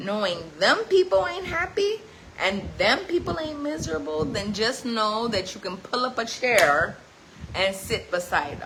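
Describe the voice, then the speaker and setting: A woman speaks with fairly high pitch, an animated tone, and very wide pitch swings. Her pace is fairly slow, and there is noticeable background noise. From New Jersey. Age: 40s. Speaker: livestreamer giving life advice. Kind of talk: livestream motivational talk. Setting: live stream on social media.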